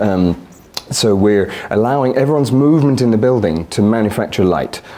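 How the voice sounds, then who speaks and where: Over noticeable background noise and audible room echo, a man with a British accent speaks with ordinary pitch variation. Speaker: architect. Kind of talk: conference talk. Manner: fast; loud.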